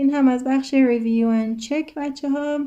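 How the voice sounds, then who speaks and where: Speaking with a Persian accent, a woman has a high pitch and a dark, mellow tone. Her pitch varies in an ordinary way. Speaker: English teacher. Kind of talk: lesson.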